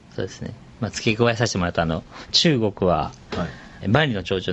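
This man's pitch is fairly low, with ordinary variation. Noticeable background noise runs beneath him. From Shizuoka, Japan. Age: 40s. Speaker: fashion company CEO. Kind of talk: casual interview.

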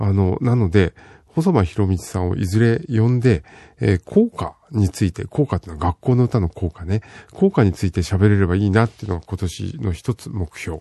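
Against a quiet background, a dark, mellow tone comes through at a moderate pace with lively intonation, in a dry, close sound with no echo. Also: man, fairly low pitch for a man. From Fukushima, Japan. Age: old. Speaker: radio host. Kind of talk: casual radio talk. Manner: relaxed, with many fillers.

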